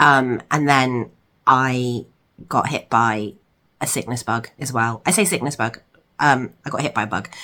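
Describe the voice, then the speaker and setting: Speaking in an English accent, a woman with a very deep, low pitch and a bright, sharp tone moves at a fairly slow pace with long, frequent pauses and ordinary pitch variation. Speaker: crochet vlogger. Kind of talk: casual vlog chat. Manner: hesitant, many ums.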